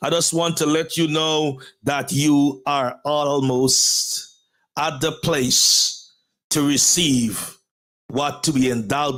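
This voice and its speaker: This man speaks with a Guyanese accent at a fairly high pitch, keeping his loudness very even and his intonation fairly even. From Guyana. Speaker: pastor and motivational show host. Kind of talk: motivational talk show monologue. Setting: live stream. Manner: formal, repetitive rhetorical phrasing.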